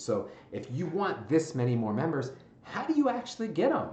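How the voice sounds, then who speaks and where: A man speaks in an animated tone with lively intonation. Noticeable background noise and audible room echo fill the recording. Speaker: gym business coach, former gym owner. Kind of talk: tutorial. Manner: fast.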